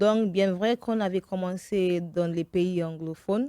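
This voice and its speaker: This is a woman with a medium-pitched voice. Her intonation stays fairly even. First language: English (speaking French). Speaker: event producer. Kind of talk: radio interview. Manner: halting, with fillers.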